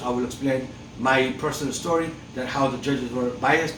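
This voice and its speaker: A man's medium-pitched voice at a moderate pace, with ordinary pitch variation, audible room echo and noticeable background noise. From outside the United States. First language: not English. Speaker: father's rights activist, video host. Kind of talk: opinion monologue. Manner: impassioned, many fillers and repetitions.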